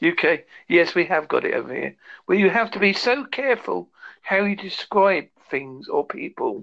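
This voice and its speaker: Speech comes at a moderate pace. It carries a British accent. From United Kingdom. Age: 50s. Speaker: podcast interviewer.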